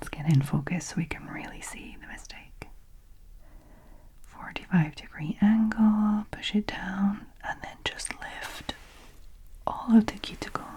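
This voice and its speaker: A woman whispers at a fairly slow pace with long, frequent pauses and big swings in loudness, against noticeable background noise. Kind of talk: ASMR voiceover. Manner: soft-spoken, whispered.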